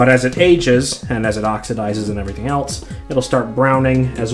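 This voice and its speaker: Speech at a moderate pace with clear music in the background. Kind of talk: tutorial. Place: bathroom.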